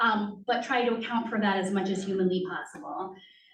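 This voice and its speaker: A woman's fairly quick, fairly even-toned speech, with audible room echo and noticeable background noise. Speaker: school district compliance administrator. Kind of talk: presentation to school board. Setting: school committee meeting in library. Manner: many filler ums.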